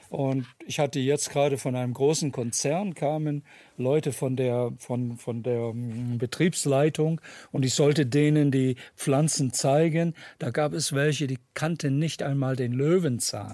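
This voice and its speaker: On a very clean recording with a silent background, a man with a dark, mellow tone and fairly high pitch speaks at a fairly slow pace with fairly even intonation. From Germany, raised partly in Ohio, USA from age 11. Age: 70s. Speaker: ethnologist and author. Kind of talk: panel discussion.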